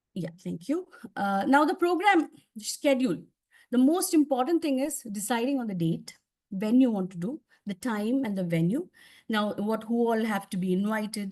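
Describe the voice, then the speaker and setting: Somewhat breathy, a woman with a fairly high pitch speaks at a moderate pace, her pitch swinging very widely. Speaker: public speaking trainer. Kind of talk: training presentation.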